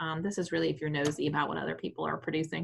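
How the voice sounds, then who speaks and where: Vocal fry runs through this woman's voice. Her pitch variation is ordinary. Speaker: real estate trainer. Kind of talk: tutorial. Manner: fast.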